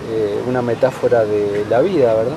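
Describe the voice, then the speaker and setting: Through audible room echo and noticeable background noise, a man speaks with a Rioplatense accent. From Uruguay. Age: 50s. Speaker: writer and university lecturer. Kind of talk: interview. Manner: hesitant, many fillers.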